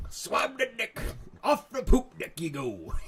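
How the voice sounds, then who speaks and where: This is a put-on character voice from a man, pitched extremely high. He delivers it at a fairly slow pace. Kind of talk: comedic.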